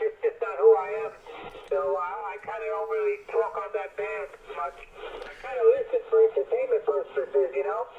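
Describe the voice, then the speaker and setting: There is noticeable background noise as a man talks. He has an American accent and a fairly quick pace. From New York, the Bronx. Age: 50s. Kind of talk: casual chat. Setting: radio transmission.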